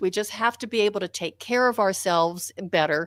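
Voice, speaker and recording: On a very clean recording with a silent background, an ordinary speaking voice is heard with ordinary pitch variation. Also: woman. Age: 60s. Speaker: author and physical therapist, martial artist. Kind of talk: interview.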